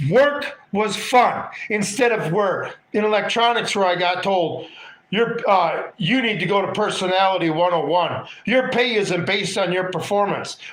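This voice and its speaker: A man talks at a fairly slow pace and a high pitch, with hardly any pauses and ordinary pitch variation. Noticeable background noise and audible room echo surround him. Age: 50s. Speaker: political livestream host. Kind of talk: casual livestream monologue with chat. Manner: animated.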